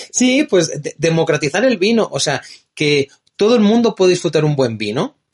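A man's high, animated voice with a Spanish accent and very wide pitch swings, at a moderate pace, in a dry, close sound with no echo. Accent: Spanish (Spain). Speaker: wine distributor and tasting host. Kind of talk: casual interview. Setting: in-person studio chat.

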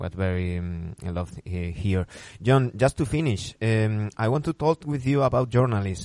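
Against a quiet background, a man with a Spanish accent speaks at a medium pitch and a moderate pace with lively intonation, the sound dry and close with no echo. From Spain. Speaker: basketball podcast host. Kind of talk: interview. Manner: halting, many fillers.

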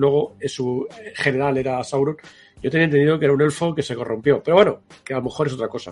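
Pitched fairly high for a man, his voice races at a very fast pace. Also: ordinary pitch variation. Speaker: podcast co-host. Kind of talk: casual chat.

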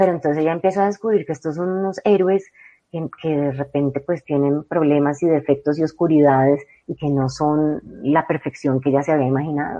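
Fairly quick delivery from a woman with a very deep, low pitch. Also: fairly even intonation. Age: 40s. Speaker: novelist. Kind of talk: interview.

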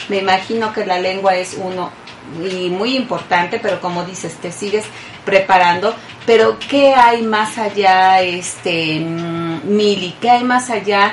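A woman's medium-pitched voice at a very slow pace, with ordinary pitch variation and noticeable background noise. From Mexico. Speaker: radio host. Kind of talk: radio interview.

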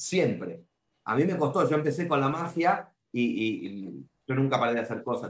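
This man talks with an Argentine accent and a fairly high pitch. His voice has vocal fry and makes very wide pitch swings. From Argentina. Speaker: magician and clown. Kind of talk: casual interview. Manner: halting, repetitive.

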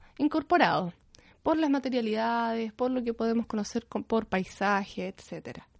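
With lively intonation and a high pitch, a woman talks against a quiet background. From Chile, Concepción. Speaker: visual artist and art teacher. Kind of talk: interview. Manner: halting.

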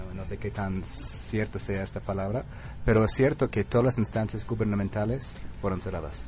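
A man with a fairly low pitch speaks at a moderate pace with lively intonation. Background noise is noticeable. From US Northeast (Connecticut). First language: English (speaking Spanish). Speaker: author. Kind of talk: radio interview. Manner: halting, with fillers.

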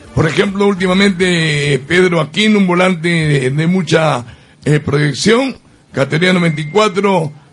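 With music in the background, a man of high pitch speaks at a very slow pace, his pitch varying in an ordinary way and his loudness very even. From Peru, Lima. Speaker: sports radio host. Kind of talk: sports radio show. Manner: animated.

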